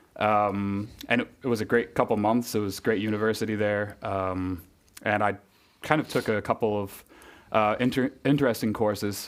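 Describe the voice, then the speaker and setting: Speaking in a New England accent, a man with a fairly low pitch keeps a moderate pace and fairly even intonation. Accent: New England American. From US Northeast, Connecticut. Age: 30s. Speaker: university graduate. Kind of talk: podcast interview. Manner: hesitant, many fillers.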